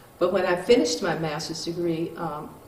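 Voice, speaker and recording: Against noticeable background noise and audible room echo, a woman with a fairly low voice speaks at a fairly quick pace. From US South, Mississippi. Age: 70s. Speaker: retired neurosurgeon. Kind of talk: interview. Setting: in her home. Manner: halting, many fillers.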